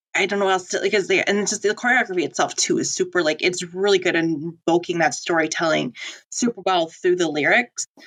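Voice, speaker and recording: Very fast pace, with ordinary pitch variation. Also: woman, medium pitch for a woman. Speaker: podcast co-host. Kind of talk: casual chat. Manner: halting.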